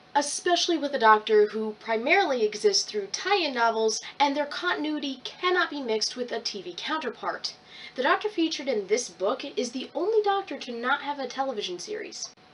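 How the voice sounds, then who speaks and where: A woman's high pitch with very wide pitch swings, over noticeable background noise. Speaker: book reviewer. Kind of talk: book review monologue. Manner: occasionally stumbling, throat clearing.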